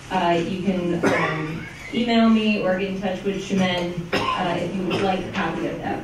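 A woman is heard with audible room echo and loud background noise. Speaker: elections lawyer giving a talk. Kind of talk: lecture. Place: meeting room.

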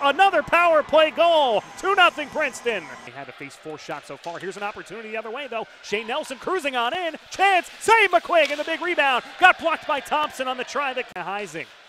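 Amid noticeable background noise, a man in a raised, projected voice hits an extremely high pitch, with very wide pitch swings and big swings in loudness. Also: hardly any pauses. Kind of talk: live play-by-play sports commentary. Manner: fast, rapid-fire, clipped; excitable, rising on goals.

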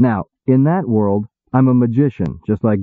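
Plain reading aloud, with ordinary pitch variation, comes across a quiet background.

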